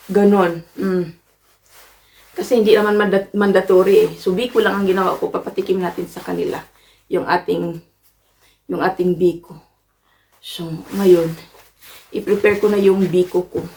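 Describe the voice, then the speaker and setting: Her voice is medium in pitch with a dark, mellow tone, and this woman keeps a monotone, flat intonation at a moderate pace, pausing long and often while her loudness swings widely. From Philippines. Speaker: vlogger. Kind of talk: casual vlog.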